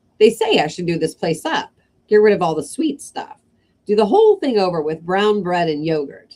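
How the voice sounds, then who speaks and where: Cackling, rumbling put-on character voice at a middle pitch and moderate pace. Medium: read story. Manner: cackling, grumbling.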